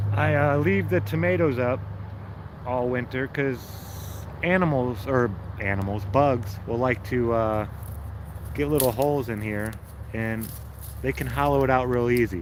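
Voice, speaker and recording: With lively intonation and long, frequent pauses, a man speaks at a moderate pace in a room with audible echo and noticeable background noise. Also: medium pitch for a man. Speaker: home gardener livestreamer. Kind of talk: casual livestream chat. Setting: outdoors in garden. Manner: casual, conversational.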